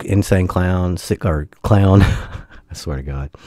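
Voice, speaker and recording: Speaking at a fairly slow pace, a man uses a very deep, low pitch with a dark, mellow tone and ordinary pitch variation. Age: 40s. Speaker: gaming YouTuber. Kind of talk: casual vlog monologue.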